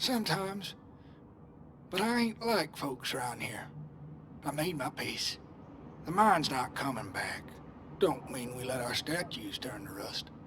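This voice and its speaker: In a put-on character voice, a man sounds raspy with a warm tone and a fairly high pitch, swinging very widely in pitch at a moderate pace with long, frequent pauses over light background noise. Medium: video game. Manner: folksy, warm.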